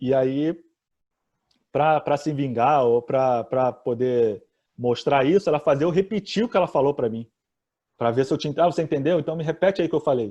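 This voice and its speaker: Against a quiet background, a man with a dark, mellow tone talks at a fairly high pitch and moderate pace, with ordinary pitch variation and long, frequent pauses. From Brazil. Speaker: accountant. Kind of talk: interview.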